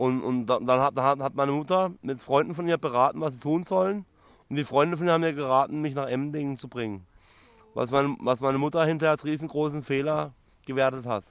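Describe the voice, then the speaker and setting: This man has a fairly high pitch and ordinary pitch variation. He talks at a fairly quick pace. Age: 30s. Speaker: psychiatric patient. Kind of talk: interview testimony. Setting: psychiatric clinic. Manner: halting, repeats words.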